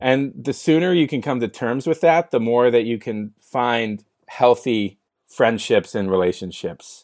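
In a very clean recording with a silent background, a man with a Californian accent talks at a fairly slow pace in a medium pitch, his intonation lively and the sound dry and close with no echo. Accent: Californian American. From US West Coast (San Francisco). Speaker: entrepreneur and mental health advocate. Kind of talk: podcast interview.

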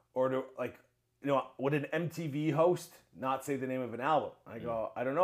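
A man talks fairly quickly in a plain, everyday voice with ordinary pitch variation. The recording is very clean with a silent background. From Ontario, Canada (Mississauga). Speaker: YouTube show host. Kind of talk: casual interview chat. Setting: home studio.

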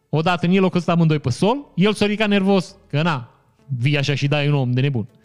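A man speaks in an animated tone with lively intonation. Music plays in the background. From Romania, Maramureș (Vișeu). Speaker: podcast host, commentator. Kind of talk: casual news commentary. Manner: animated, joking.

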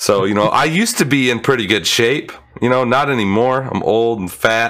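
At medium pitch and a moderate pace, a man talks in an unremarkable speaking voice with ordinary pitch variation. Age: 30s. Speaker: gaming podcast host. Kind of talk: casual chat.

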